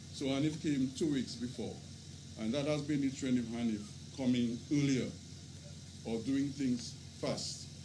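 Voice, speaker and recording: With fairly even intonation and a dark, mellow tone, a man speaks at a moderate pace amid audible room echo. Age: 70s. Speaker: father of the deceased. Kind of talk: eulogy. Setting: vigil gathering.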